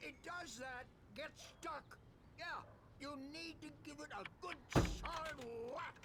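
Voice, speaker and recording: A put-on character voice at a fairly slow pace, with long, frequent pauses over loud background noise. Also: man. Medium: video game.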